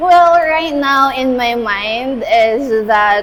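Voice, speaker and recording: A woman's high voice, its pitch varying in an ordinary way, comes through noticeable background noise. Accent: Visayan Filipino. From Philippines, Cebu. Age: 20s. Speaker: university student. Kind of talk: street interview. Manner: hesitant, many fillers.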